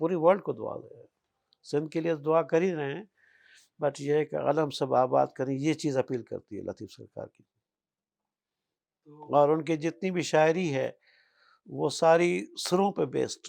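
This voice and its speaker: With an unremarkable speaking voice and ordinary pitch variation, this man sits fairly high in pitch. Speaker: hakeem, author. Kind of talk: oral history interview answer.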